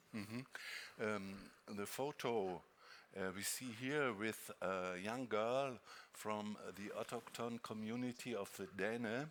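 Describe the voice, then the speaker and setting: This man talks at a very slow pace with a fairly low pitch. His pitch rises and falls in an ordinary way. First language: not English (prepared in French). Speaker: moderator. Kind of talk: panel discussion moderation. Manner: hesitant.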